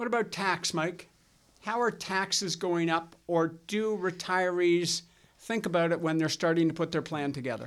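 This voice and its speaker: In a Canadian accent, the speaker goes at a moderate pace on a very clean recording with a silent background. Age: 60s. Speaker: financial advisor podcast host. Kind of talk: casual chat.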